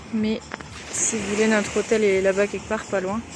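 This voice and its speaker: In a monotone, flat intonation, a woman speaks at a medium pitch and moderate pace over noticeable background noise. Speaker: travel vlogger. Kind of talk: casual vlog narration. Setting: outdoors on a beach at night.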